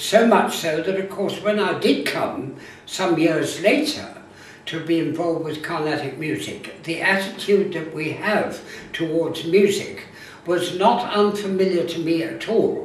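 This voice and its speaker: This man has a high pitch and a fairly slow pace. Noticeable background noise runs behind him. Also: ordinary pitch variation. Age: 80s+. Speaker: music theorist. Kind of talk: interview answer.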